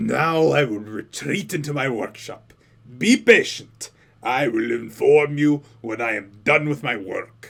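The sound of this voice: Using a put-on character voice, a man speaks at a medium pitch. His pace is fairly slow.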